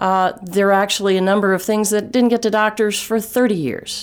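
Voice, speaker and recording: A woman's medium-pitched voice with a Texas accent and ordinary pitch variation, in a very clean recording with a silent background. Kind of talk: interview about health.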